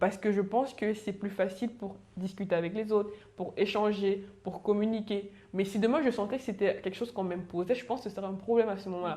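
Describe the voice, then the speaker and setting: Her tone is dark and mellow, set at a medium pitch for a woman. She speaks at a very fast pace with fairly even intonation. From Cameroon. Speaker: panelist sharing work experience. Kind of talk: panel discussion.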